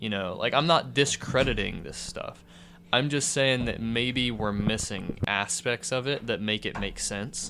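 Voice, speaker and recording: Bright and sharp in tone with vocal fry, the voice keeps a moderate pace and lively intonation. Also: man. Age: 20s. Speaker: podcast guest, friend of host. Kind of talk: casual chat. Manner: animated.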